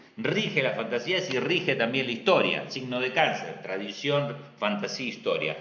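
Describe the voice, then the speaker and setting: With an Argentine accent and very wide pitch swings, a man speaks at a medium pitch amid audible room echo and noticeable background noise. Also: moderate pace. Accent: Argentine Spanish (Rioplatense). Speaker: astrologer. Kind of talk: live stream talk.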